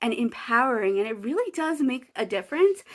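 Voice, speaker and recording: Speech at a moderate pace, very clean recording, silent background. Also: woman. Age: 20s. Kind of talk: casual vlog talk to camera.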